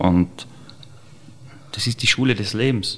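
Using fairly even intonation, a man speaks at a fairly slow pace. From Austria, Tyrol (Serfaus). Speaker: chef. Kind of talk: interview.

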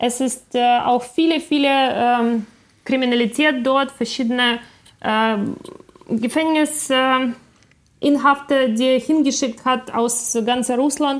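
A woman talks at a very slow pace with a high pitch. Her loudness is very even and her intonation fairly even. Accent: Ukrainian. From Ukraine, Kyiv. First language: Ukrainian (speaking German). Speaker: film director. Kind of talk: interview.

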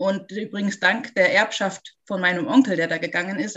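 Using a normal speaking voice, a woman talks at a medium pitch and a moderate pace with ordinary pitch variation. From Munich, Bavaria. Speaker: spiritual medium and healer. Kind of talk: interview.

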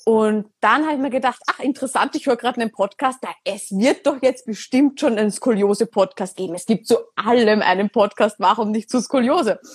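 A woman's fairly high voice at a fairly quick pace, with ordinary pitch variation, hardly any pauses, and a dry, close sound with no echo. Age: 20s. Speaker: podcast host. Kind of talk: casual interview on Instagram live. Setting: Instagram live recording. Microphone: poor sound quality.

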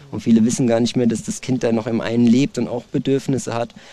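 A man talks with a dark, mellow tone. His pitch stays in the medium range. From Germany. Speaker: martial arts trainer. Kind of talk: casual interview.

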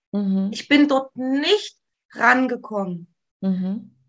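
With lively intonation, a woman talks in a bright, sharp tone. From East Germany, near Leipzig. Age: 40s. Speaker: trauma therapist. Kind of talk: interview about life story. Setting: video call.

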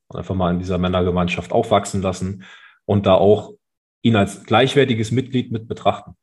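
Ordinary pitch variation marks a man's fairly quick speech. There is some breathiness to his voice. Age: 30s. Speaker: soldier. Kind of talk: casual interview. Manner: halting.

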